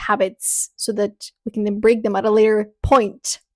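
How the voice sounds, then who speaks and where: A woman speaks with a Bulgarian accent at a fairly high pitch. Her intonation is fairly even, and the sound is dry and close with no echo. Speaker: spiritual content creator and podcaster. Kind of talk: vlog update with product promotion.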